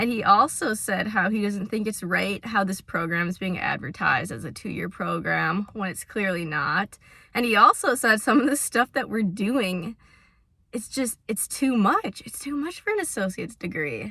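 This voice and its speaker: On a very clean recording with a silent background, a woman speaks at a medium pitch and moderate pace with a bright, sharp tone. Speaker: software development student. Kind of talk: casual vlog talk to camera. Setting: in a car.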